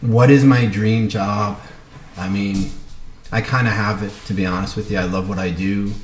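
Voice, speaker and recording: Amid noticeable background noise and audible room echo, a man with an American accent speaks at a moderate pace, his pitch fairly low and his intonation fairly even. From US Northeast, Brooklyn, New York. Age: 40s. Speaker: cardiologist and business student. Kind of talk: self-introduction video. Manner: casual, many fillers.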